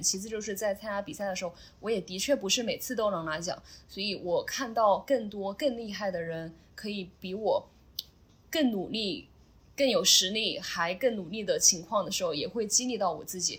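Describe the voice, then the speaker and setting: Her tone is somewhat breathy. The woman's pitch lands in the medium range. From Sichuan / Chongqing, China. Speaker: CrossFit athlete and coach. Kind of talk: interview.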